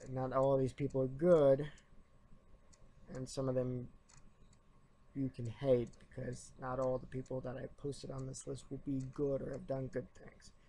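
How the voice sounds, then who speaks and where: Loud and monotone, a man with a dark, mellow tone and flat intonation speaks at a moderate pace, broken by long, frequent pauses. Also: medium pitch for a man. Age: 20s. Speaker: YouTuber and college student. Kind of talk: opinion rant vlog. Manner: trying to speak louder; halting.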